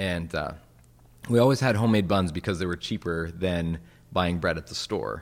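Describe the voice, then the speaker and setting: A Western Canadian accent at a moderate pace with ordinary pitch variation, in a very clean recording with a silent background. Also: man, very deep, low pitch for a man. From Western Canada. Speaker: pastor and author. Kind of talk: interview.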